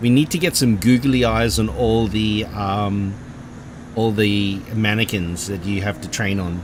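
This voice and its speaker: A man with an Australian accent and a fairly low pitch, at a fairly slow pace, with audible room echo and noticeable background noise. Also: ordinary pitch variation. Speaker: gaming streamer. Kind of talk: casual chat. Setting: live stream.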